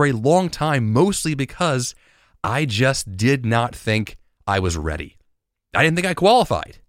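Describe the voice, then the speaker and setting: In an energetic tone, a man at a medium pitch makes very wide pitch swings on a very clean recording with a silent background. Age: 30s. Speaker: podcast host. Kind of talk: solo motivational monologue. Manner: energetic, motivational.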